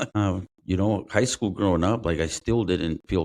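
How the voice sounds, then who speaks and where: The sound is dry and close with no echo as a man speaks at a moderate pace with fairly even intonation. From immigrant who grew up in the US, first language not English. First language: not English. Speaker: former Marine, homicide detective. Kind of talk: podcast interview, life story. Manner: casual, hesitant with fillers.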